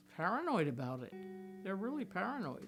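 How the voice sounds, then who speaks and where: Music plays behind a woman speaking at a fairly slow pace and a medium pitch. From Pennsylvania. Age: 80s+. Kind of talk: interview answer.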